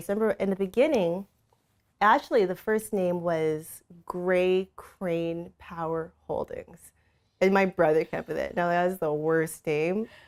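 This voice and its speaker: At a moderate pace, the speaker talks with a North American accent and ordinary pitch variation. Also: woman. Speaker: entrepreneur. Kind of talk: interview. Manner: animated.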